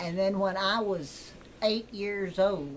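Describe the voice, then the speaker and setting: A woman with an American accent speaks at a medium pitch and a very slow pace. Audible room echo surrounds her voice. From West Texas. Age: 80s+. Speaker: retired teacher. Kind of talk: casual chat.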